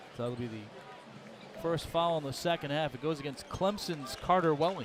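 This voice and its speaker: Speaking with an American accent, a man has a fairly high pitch and ordinary pitch variation amid noticeable background noise. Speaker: play-by-play announcer. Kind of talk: live commentary. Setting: broadcast booth. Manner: fast.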